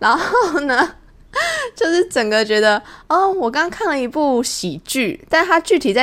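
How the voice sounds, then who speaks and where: Moderate pace and very wide pitch swings from a woman. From Taiwan. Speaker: podcast host. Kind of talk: casual monologue.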